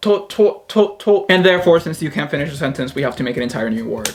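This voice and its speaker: A man with a Spanish accent speaks very fast, his pitch swinging very widely over noticeable background noise. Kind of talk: casual talk to camera.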